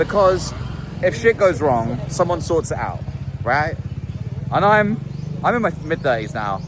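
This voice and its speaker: A man with a British accent at a moderate pace, over noticeable background noise. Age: 30s. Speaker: musician and vlogger. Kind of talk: video diary monologue. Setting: outdoors in a city street. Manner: casual, meandering with fillers.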